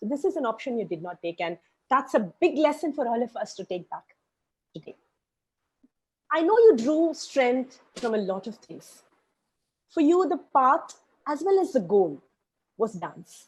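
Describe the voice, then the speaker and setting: A woman's high-pitched voice at a moderate pace, with very wide pitch swings and long, frequent pauses. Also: big swings in loudness. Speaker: dancer and interview host. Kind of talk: interview.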